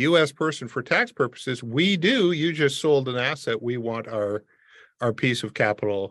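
A normal speaking voice from a man at a medium pitch, lively in intonation and with a Canadian accent. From Canada, Windsor Ontario. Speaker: immigration consultant. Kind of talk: expert interview.

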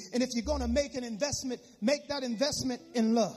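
Over noticeable background noise, a man with an extremely high pitch talks in an animated tone with ordinary pitch variation. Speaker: preacher. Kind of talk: sermon. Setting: church. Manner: animated, exhorting the congregation in call-and-response.

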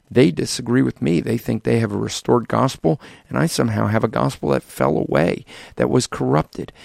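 A man's very deep, low voice with vocal fry and very wide pitch swings, dry and close with no echo. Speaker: evangelist. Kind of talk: podcast monologue.

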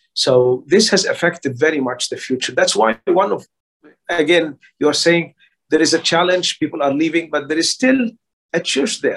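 A high-pitched man's voice with an Arabic accent, lively intonation and a moderate pace. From Egypt. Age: 60s. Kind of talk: interview. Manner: halting.

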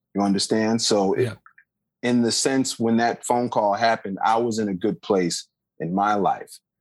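The speaker is a man with an unremarkable speaking voice at a medium pitch. He keeps a moderate pace, fairly even intonation and very even loudness. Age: 40s. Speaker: jazz bassist. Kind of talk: casual interview.

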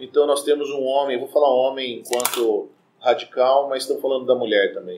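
A man talks at a fairly quick pace with a medium pitch. It is a plain, everyday voice. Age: 30s. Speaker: psychologist. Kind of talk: casual chat.

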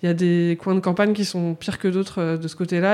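A woman speaks at a fairly quick pace with a fairly low pitch and a dark, mellow tone. Her intonation is monotone and flat. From France, countryside near Lyon. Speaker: illustrator. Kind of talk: casual chat. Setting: studio.

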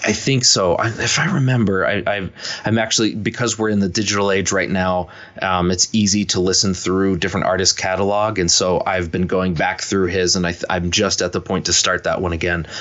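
A man with an American accent and a very deep, low voice speaks at a fairly quick pace, with fairly even intonation and very even loudness. Noticeable background noise sits under his speech. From US, upstate New York (Rochester), then Philadelphia area. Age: 30s. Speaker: guitarist. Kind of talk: casual interview.

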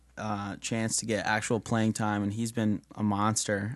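Over a quiet background, a man with an American accent talks at a moderate pace in a medium pitch, an ordinary speaking voice. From New York. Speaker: sports writer. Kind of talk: casual sports chat.

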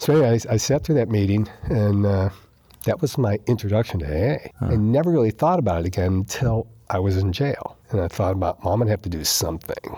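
An unremarkable speaking voice from a man with an American accent, fairly low in pitch, fairly quick, with lively intonation. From New York. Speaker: recovering alcoholic. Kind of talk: testimony.

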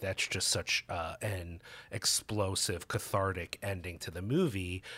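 Fairly slow speech from a man, very clean recording, silent background. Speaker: podcast co-host. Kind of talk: casual chat. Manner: sarcastic, uses many fillers.

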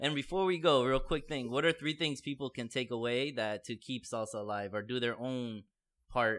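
A man with an American accent has an ordinary speaking voice at medium pitch and ordinary pitch variation. He talks at a moderate pace on a very clean recording with a silent background. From South Florida. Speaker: podcast host. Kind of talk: interview conversation.

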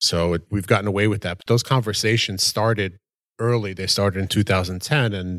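Here a man has an unremarkable speaking voice, fairly low in pitch, with fairly even intonation at a moderate pace. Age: 40s. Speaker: real estate company partner. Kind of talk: casual chat.

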